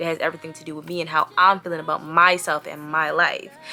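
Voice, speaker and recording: The words come out at a very fast pace. Behind them, there is music in the background. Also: woman. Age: 20s. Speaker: vlogger. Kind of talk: casual vlog monologue.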